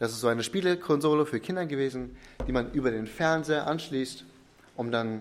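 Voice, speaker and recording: Fairly quick male speech in a plain, everyday voice, medium in pitch, with ordinary pitch variation. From Ostwestfalen, Germany. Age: 20s. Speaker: pastor. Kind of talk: sermon.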